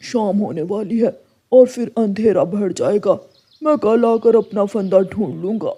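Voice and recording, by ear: A man puts on a cartoonish character voice with a high pitch. He speaks at a fairly slow pace.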